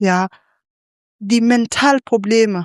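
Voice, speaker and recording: A woman with a non-native accent speaks at a fairly high pitch with ordinary pitch variation, in a dry, close sound with no echo on a very clean recording with a silent background. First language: not German (speaking German). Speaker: panelist, migrant activist. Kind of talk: panel discussion. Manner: halting.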